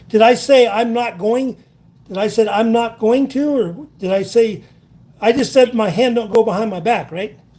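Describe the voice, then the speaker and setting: Loud and at a moderate pace, a man speaks with an extremely high pitch, ordinary pitch variation and a dark, mellow tone. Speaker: citizen journalist interviewing police officer. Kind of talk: confrontational interview.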